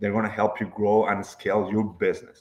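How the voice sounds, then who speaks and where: A man with a Spanish accent. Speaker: accountant. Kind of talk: podcast interview. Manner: hesitant, many fillers.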